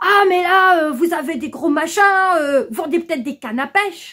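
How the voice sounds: Putting on a character voice, a woman speaks at an extremely high pitch, keeping a moderate pace and ordinary pitch variation.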